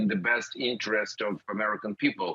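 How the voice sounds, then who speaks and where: This man has a Ukrainian accent. He speaks at a moderate pace. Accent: Russian-speaking Ukrainian accent in English. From Ukraine, Odessa. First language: Russian. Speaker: politician. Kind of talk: news interview. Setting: remote link from Odessa.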